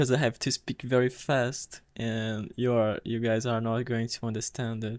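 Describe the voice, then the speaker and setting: With a Portuguese accent, a man talks at medium pitch in a monotone, flat intonation. He takes hardly any pauses. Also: moderate pace. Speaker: game streamer. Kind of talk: live gameplay commentary. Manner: halting.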